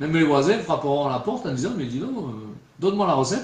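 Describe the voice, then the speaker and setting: A man with a regional French accent speaks at a fairly high pitch. His pitch swings very widely, and room echo is audible. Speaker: preacher. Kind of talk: sermon. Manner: conversational, frequent filler 'hein'.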